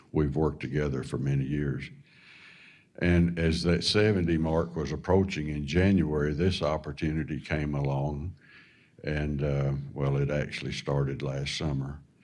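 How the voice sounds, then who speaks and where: Through audible room echo, a man with an American accent speaks in a very deep, low pitch and fairly even intonation. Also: moderate pace. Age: 70s. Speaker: government official and farmer. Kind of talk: town hall remarks. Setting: town hall forum. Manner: halting.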